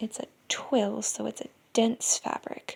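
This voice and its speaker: Soft-spoken, a woman talks at a very slow pace in a fairly high voice. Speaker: sewing content creator. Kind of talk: tutorial. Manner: quiet, soft-spoken; hesitant with fillers.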